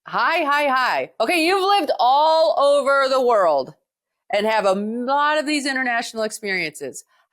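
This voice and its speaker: A woman talks at a moderate pace with an American accent. The recording is very clean, with a silent background. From United States. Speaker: podcast host. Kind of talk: interview podcast.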